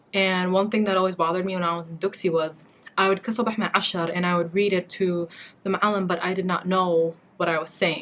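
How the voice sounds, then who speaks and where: Speaking very fast with flat, monotone intonation, a woman with a Somali accent talks at a medium pitch. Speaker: beauty and lifestyle vlogger. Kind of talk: casual vlog talk to camera. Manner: chatty, conversational.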